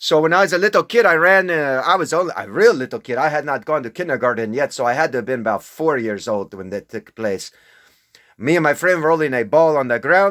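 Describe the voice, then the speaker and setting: A man's voice with very wide pitch swings, dry and close with no echo, on a very clean recording with a silent background. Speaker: self-proclaimed religious figure. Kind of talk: casual monologue. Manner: animated; slow when speaking other languages.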